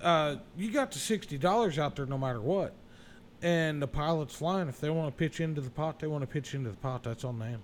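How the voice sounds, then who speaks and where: With an unremarkable speaking voice, a man talks at a fairly quick pace, his fairly high pitch moving with ordinary variation. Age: 40s. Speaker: podcast host. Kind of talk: casual chat.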